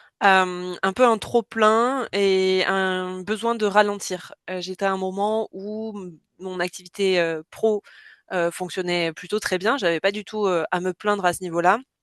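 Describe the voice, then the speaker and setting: Medium-pitched woman at a very slow pace, fairly even intonation, dry, close sound with no echo, quiet background. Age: 30s. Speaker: freelance communications professional. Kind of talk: testimony.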